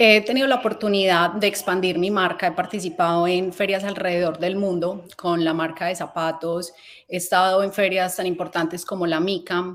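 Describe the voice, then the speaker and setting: Speaking in a Colombian accent at a very fast pace with hardly any pauses, a woman holds a medium pitch in a monotone, flat intonation. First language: Spanish. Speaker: fashion company founder. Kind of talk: conference talk. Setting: event stage. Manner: halting.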